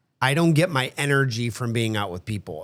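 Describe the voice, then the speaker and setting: Lively intonation drives a fairly quick pace. The recording is very clean, with a silent background. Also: man. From United States. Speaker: podcast co-host, homesteader. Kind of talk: casual chat. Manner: fast.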